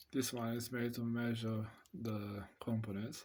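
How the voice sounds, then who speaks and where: A somewhat breathy man at a fairly slow pace. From Romania. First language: Romanian. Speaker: amateur radio hobbyist reviewing test equipment. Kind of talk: product demonstration. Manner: hesitant.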